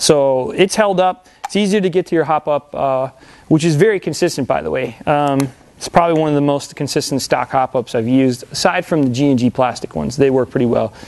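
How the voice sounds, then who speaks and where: Fairly quick in pace, a man talks at a fairly high pitch. His pitch variation is ordinary. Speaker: airsoft store owner and product reviewer. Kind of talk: product review. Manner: fast; casual, with many fillers.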